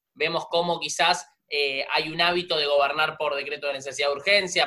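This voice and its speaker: Here is a plain, everyday voice from a man, fairly high in pitch. He talks at a fairly quick pace with fairly even intonation. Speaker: podcast host. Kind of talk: casual chat.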